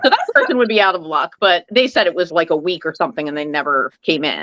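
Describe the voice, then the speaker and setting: Here a woman speaks at a very fast pace with a fairly low pitch and lively intonation. The sound is dry and close, with no echo. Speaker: live stream host, fragrance collector. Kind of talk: casual chat. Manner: loud.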